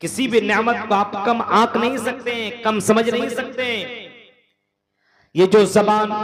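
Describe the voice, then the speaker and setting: Extremely high-pitched man with monotone, flat intonation. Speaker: Islamic scholar giving a lecture. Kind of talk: religious sermon / public lecture. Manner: earnest, persuasive, preaching.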